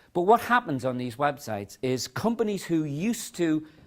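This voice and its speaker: A man talks at a moderate pace in a fairly high pitch, his voice swinging very widely in pitch. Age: 60s. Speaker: author and education speaker. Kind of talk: talk to an audience. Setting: conference session with audience.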